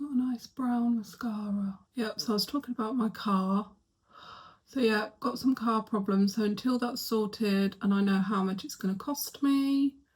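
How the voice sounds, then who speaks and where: A soft-spoken woman with a fairly high pitch, talking at a fairly slow pace. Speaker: lifestyle vlogger. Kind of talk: casual vlog chat. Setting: bedroom at home. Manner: quiet, soft-spoken.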